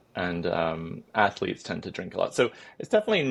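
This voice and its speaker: Vocal fry marks this man's British accent. He speaks at a fairly quick pace against a quiet background. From United Kingdom. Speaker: clinical psychologist. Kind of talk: podcast interview.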